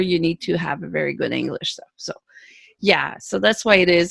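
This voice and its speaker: Speaking with a Quebec accent at a moderate pace, a woman's medium-pitched voice comes through dry and close with no echo in a very clean recording with a silent background. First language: French. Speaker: author. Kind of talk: interview. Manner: halting.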